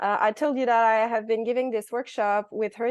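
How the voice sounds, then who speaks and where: A strong Quebec accent with ordinary pitch variation against a quiet background. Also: woman. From Quebec City. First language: French. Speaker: workshop presenter, biologist. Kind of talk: online workshop presentation. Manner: hesitant, searching for words.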